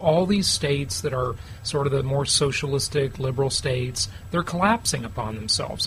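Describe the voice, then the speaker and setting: The talker keeps a fairly quick pace and ordinary pitch variation amid noticeable background noise. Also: man. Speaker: real estate investment show host. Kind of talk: casual chat. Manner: casual.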